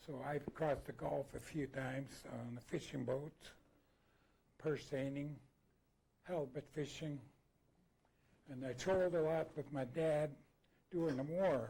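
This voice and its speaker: Speaking at a fairly slow pace with long, frequent pauses, a man uses a dark, mellow tone that is somewhat breathy, his intonation fairly even. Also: fairly high pitch for a man. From Alaska. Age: 70s. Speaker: former fisherman. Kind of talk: panel talk recounting memories. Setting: annual meeting with audience. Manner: halting, many fillers.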